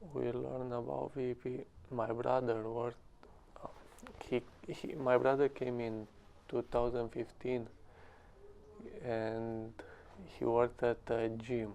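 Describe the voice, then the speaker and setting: A man with a Romanian accent talks at a fairly slow pace with long, frequent pauses. His pitch is medium and his intonation fairly even. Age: 20s. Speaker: English learner, cleaning business owner. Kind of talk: interview. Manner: halting.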